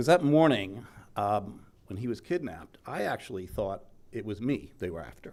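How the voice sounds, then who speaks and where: With an American accent, a man's voice moves through very wide pitch swings and big swings in loudness. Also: fairly low pitch for a man, moderate pace. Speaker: journalist, eulogy speaker. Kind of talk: memorial speech. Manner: casual, conversational.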